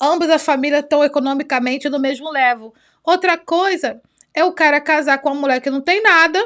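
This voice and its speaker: A woman with a high voice speaks in an animated tone. The recording is very clean, with a silent background. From Brazil. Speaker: youtuber. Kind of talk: reaction commentary. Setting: home recording with two cameras.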